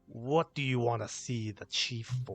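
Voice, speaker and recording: A put-on character voice at a fairly slow pace, with fairly even intonation. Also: man. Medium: actual play.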